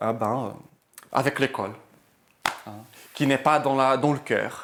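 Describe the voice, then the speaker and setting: A man talks with fairly even intonation. His pitch is in the middle of his range. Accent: non-native. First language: not French (speaking French). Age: 20s. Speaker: health practitioner. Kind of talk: interview. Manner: halting, many fillers.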